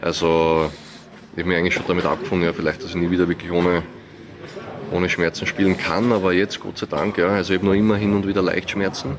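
A man talks at a very fast pace with a very deep, low pitch and fairly even intonation, broken by long, frequent pauses. Noticeable background noise runs under his voice. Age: 20s. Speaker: professional tennis player. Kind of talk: interview.

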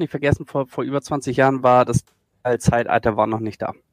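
The sound is close and dry, without any echo. It is a man who talks. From northern Germany, Schleswig-Holstein. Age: 40s. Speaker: esports video editor. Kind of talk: podcast interview.

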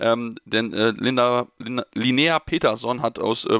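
The man's voice is medium in pitch with a bright, sharp tone. The sound is dry and close, with no echo. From North Rhine-Westphalia, Germany. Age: 20s. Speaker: podcast host. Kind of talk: casual sports talk.

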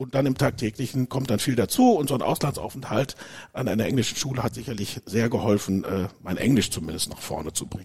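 Over noticeable background noise, a man at medium pitch rattles along at a very fast pace with lively intonation. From Germany, Dortmund (Ruhr area). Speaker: company managing director. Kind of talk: interview.

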